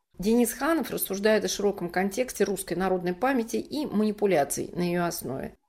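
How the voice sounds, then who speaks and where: A woman has an ordinary speaking voice at medium pitch. She talks fairly quickly with lively intonation and hardly any pauses. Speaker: podcast host. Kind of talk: scripted narration and hosting.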